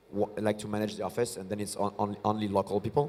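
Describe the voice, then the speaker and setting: In a French accent, a man speaks with a dark, mellow tone. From France. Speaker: start-up founder and CEO. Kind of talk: on-stage interview. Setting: stage at tech conference. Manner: halting, many fillers and repetitions.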